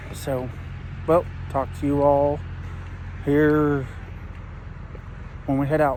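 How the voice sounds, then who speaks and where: A man with an American accent speaks at a very slow pace in a fairly high pitch, his intonation flat and monotone. Long pauses come often, and the room echo is audible. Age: 30s. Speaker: vlogger. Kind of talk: casual vlog chat.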